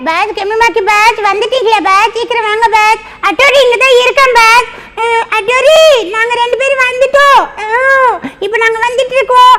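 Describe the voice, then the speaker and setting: Over light background noise, a put-on character voice at an extremely high pitch speaks at a fairly slow pace. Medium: fan dub. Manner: verbal tic ending lines with a catchphrase.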